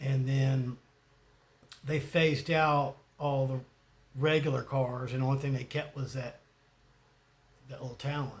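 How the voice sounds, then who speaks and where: A man with a Southern US accent speaks in a flat monotone at a medium pitch. His voice is somewhat breathy, and he talks at a fairly slow pace with long, frequent pauses. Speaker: YouTuber. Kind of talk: casual monologue. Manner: rambling, hesitant.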